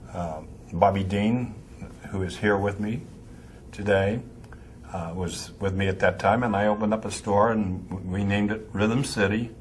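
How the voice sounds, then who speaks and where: A man's somewhat breathy, fairly low-pitched voice with an American accent, at a moderate pace with fairly even intonation and audible room echo. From Pennsylvania, north of Pittsburgh. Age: 80s+. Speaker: music store owner. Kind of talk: interview. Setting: trade convention.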